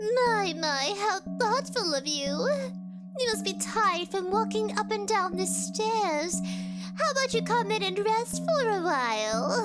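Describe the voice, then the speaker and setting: Over loud music in the background, someone performs a put-on character voice at a fairly slow pace. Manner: sweet, inviting, eerie.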